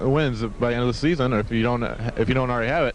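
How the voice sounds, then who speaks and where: The man's voice sits at a medium pitch. Noticeable background noise runs underneath. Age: young. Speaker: radio interviewer. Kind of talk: interview. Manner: hesitant, many fillers.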